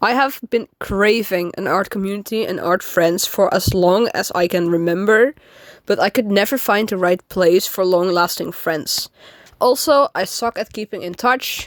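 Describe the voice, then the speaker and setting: Someone with a non-native accent speaks with ordinary pitch variation in a dry, close sound with no echo. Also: woman, medium pitch for a woman, moderate pace. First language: not English. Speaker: amateur artist and new YouTuber. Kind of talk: casual vlog monologue. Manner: halting, frequent fillers.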